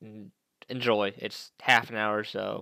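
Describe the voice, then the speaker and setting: A man with a bright, sharp tone on a very clean recording with a silent background. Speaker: gaming video creator. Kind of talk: casual video intro. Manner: fast; halting, many fillers and restarts.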